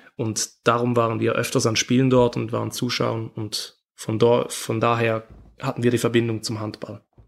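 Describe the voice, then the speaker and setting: With monotone, flat intonation, a man delivers his words at a moderate pace. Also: medium pitch for a man. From Switzerland. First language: Swiss German (speaking German). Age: 20s. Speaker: handball player. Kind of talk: interview. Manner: halting.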